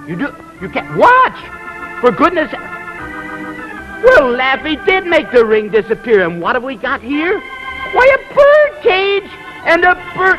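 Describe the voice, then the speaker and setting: With music in the background, a man speaks very slowly in a raised, projected voice at an extremely high pitch, with very wide pitch swings and big swings in loudness. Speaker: TV magician clown host. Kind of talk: children's TV host talk.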